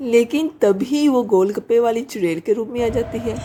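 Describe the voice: A woman speaks at a moderate pace with a fairly high pitch and a dark, mellow tone. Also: ordinary pitch variation.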